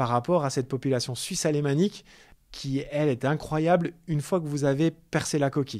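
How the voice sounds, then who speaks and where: Over a silent background in a very clean recording, a man speaks fairly quickly in a dark, mellow tone with ordinary pitch variation. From France, Paris. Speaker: bank branch manager. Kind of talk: interview. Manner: halting, many repetitions.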